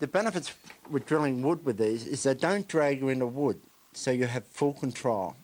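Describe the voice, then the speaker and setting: A man with an unremarkable speaking voice talks at a moderate pace, with medium pitch and lively intonation. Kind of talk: infomercial product demonstration.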